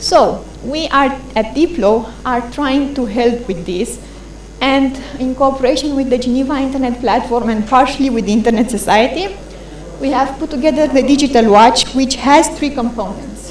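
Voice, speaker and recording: The voice shows ordinary pitch variation. Room echo is audible and background noise is noticeable. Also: woman, high pitch for a woman. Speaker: internet policy presenter. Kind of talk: conference presentation. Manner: fast.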